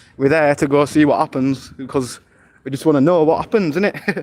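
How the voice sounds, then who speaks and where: In a British accent, a man talks at a fairly quick pace with ordinary pitch variation. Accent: British accent, remarked on by viewer. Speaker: IRL streamer. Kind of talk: live stream walking commentary. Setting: outdoors, walking city streets. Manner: loud.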